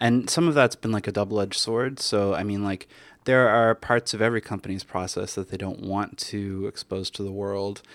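A man with a Canadian accent speaks at a fairly low pitch and a fairly quick pace, with ordinary pitch variation. The sound is dry and close with no echo, on a very clean recording with a silent background. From Canada. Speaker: software developer and conference speaker. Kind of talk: casual interview. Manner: hesitant, many fillers and repetitions.

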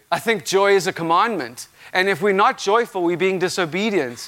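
Loud, animated speech at a fairly quick pace with ordinary pitch variation. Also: man. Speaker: visiting preacher. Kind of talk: sermon. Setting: church with live congregation.

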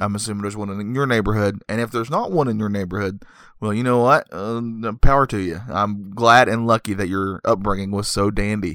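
A man's bright, sharp, fairly low voice at a very fast pace, with ordinary pitch variation, on a very clean recording with a silent background. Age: 30s. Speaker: podcast host, movie reviewer. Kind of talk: casual comedic monologue. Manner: rambling with frequent fillers.

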